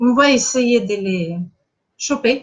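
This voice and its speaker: This woman talks at a very slow pace in a Russian accent. Her pitch is high, with ordinary pitch variation. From Russia, Saint Petersburg. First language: Russian (speaking French). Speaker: spiritual coach. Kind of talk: live online masterclass. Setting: live stream. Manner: halting, many hesitations.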